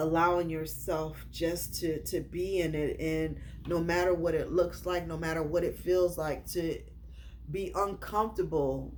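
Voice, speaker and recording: Noticeable background noise runs under the voice. The delivery is fairly slow. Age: 50s. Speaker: self-help vlogger. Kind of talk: personal vlog monologue. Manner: halting, repetitive.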